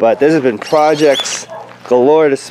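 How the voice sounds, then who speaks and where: A man speaks slowly, at a fairly slow pace, with fairly even intonation through noticeable background noise. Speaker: aquarium hobbyist YouTuber. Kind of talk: casual video update.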